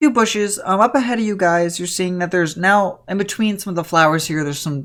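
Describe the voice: Pitch varies in an ordinary way through this plain reading aloud.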